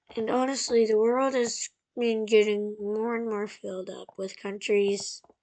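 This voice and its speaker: Speaking at a fairly high pitch is a woman. Her intonation stays monotone and flat. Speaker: mapping video creator. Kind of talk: casual map commentary. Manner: casual, rambling with fillers.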